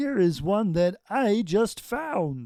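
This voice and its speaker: Using a put-on character voice, a man speaks in a high pitch with very wide pitch swings. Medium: read story.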